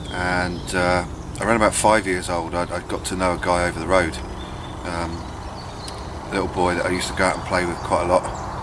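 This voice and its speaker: Amid noticeable background noise and audible room echo, a man with a southern English accent speaks at a fairly quick pace in a very deep, low pitch with monotone, flat intonation and long, frequent pauses. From southern England, Buckinghamshire. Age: 30s. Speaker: bushcraft vlogger. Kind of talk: casual vlog monologue. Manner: hesitant, many fillers.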